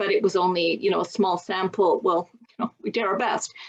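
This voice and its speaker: A woman talks at a moderate pace and a medium pitch, with ordinary pitch variation. It is an ordinary speaking voice. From Canada. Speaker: patient advocate. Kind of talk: interview answer.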